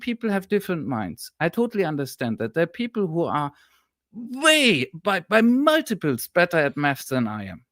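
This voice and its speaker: With a German accent, a man speaks in very wide pitch swings, the sound dry and close with no echo on a very clean recording with a silent background. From Germany. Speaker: historian and political analyst. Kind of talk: live-streamed political discussion. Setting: live stream.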